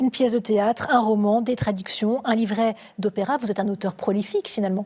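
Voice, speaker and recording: A woman with a fairly high pitch and a dark, mellow, somewhat breathy tone speaks at a fairly quick pace, her intonation fairly even and her loudness very even. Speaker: TV presenter. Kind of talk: TV interview host.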